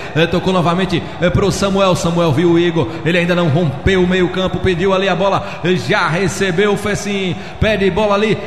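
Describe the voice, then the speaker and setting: A man speaks in an animated, playful tone with a high pitch for a man, his loudness very even, over noticeable background noise. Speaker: radio sports commentator. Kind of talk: live radio football commentary. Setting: radio broadcast from stadium. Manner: animated, excitable, fast play-by-play with playful quips.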